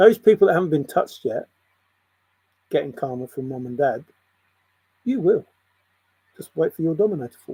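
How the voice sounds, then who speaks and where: Pausing long and often, a man with an English accent shows big swings in loudness, the sound dry and close with no echo. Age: 60s. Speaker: spiritual video blogger. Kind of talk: spiritual monologue.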